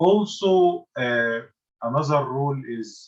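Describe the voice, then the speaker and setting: A man with an Arabic accent speaks at a medium pitch in a somewhat breathy voice. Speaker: university lecturer. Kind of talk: lecture. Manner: halting.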